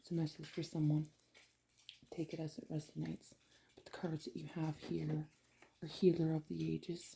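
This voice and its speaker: A woman speaks quietly, with big swings in loudness. She leaves long, frequent pauses. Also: moderate pace. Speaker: tarot reader. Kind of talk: tarot reading. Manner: quiet, low voice.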